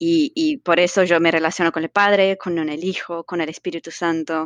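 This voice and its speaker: Her fairly low voice keeps a fairly even intonation as this woman speaks. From Brazil. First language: Portuguese (speaking Spanish). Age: young. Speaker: theologian. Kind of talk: casual interview.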